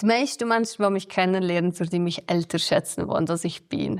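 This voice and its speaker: A woman's fairly low voice at a moderate pace on a very clean recording with a silent background. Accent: Swiss German. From Switzerland, Valais, Lötschental. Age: 20s. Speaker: evacuated villager, former radio journalist. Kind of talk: interview testimony.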